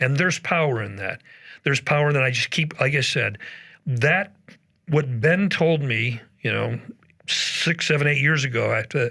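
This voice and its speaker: A man with a medium pitch and vocal fry speaks in a bright, sharp tone at a moderate pace, with ordinary pitch variation and long, frequent pauses. The recording is very clean, with a silent background. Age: 60s. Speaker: retired pastor. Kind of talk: podcast interview.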